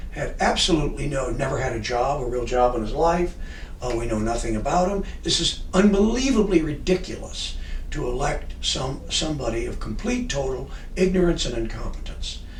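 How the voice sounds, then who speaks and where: A man with an American accent speaks at a moderate pace. Noticeable background noise and audible room echo come through. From California. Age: 60s. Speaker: explorer and expedition leader. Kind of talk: casual interview. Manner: halting, with many fillers.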